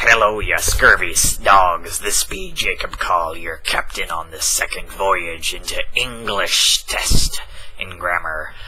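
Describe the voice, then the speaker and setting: A man's put-on character voice at a fairly slow pace, against clear background noise. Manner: jokey, gleeful.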